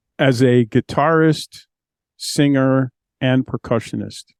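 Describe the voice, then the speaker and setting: At a very slow pace, a man with an American accent speaks in monotone, flat intonation at a medium pitch. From New Mexico, USA. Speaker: blind singer-songwriter, guitarist and percussionist. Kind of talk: casual talk to camera.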